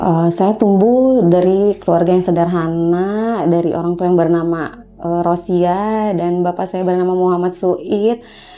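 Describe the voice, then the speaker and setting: Over noticeable background noise, the speech runs at a fairly slow pace with hardly any pauses and fairly even intonation. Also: woman, fairly low pitch for a woman. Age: 40s. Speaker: midwife. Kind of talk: documentary interview. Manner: hesitant, many fillers.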